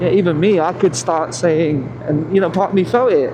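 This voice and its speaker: Amid noticeable background noise and audible room echo, a man with a British accent talks at a fairly quick pace, his fairly high pitch moving in an ordinary way. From England. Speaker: motorcycle vlogger. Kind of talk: casual monologue while riding.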